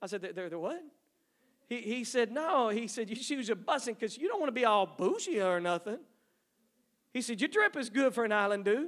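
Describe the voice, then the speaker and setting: Pausing long and often, a man with an American accent and an extremely high pitch talks at a fairly quick pace with lively intonation. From East Texas. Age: 50s. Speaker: missionary. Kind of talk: sermon. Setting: church. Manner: halting.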